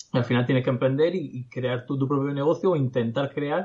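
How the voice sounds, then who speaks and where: A man speaks at medium pitch in a somewhat breathy voice with ordinary pitch variation. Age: 20s. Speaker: digital entrepreneur. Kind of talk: casual interview. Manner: halting.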